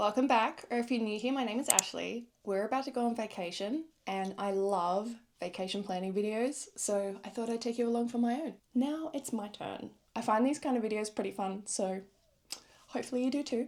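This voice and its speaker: A woman's fairly high-pitched voice with an Australian accent, ordinary pitch variation and a fairly quick pace. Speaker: travel vlogger. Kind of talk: casual vlog chat. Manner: animated.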